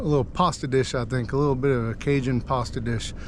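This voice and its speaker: A man with a fairly high pitch talks at a fairly quick pace. Noticeable background noise is heard. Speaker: fishing channel host. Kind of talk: casual outdoor vlog narration. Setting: outdoors at night on a boat. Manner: animated; quiet.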